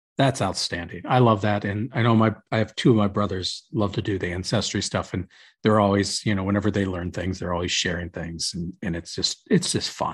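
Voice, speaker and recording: A man's somewhat breathy, fairly low voice with an American accent, a fairly quick pace and ordinary pitch variation against a quiet background. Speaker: podcast host. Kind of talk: casual chat. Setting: video call.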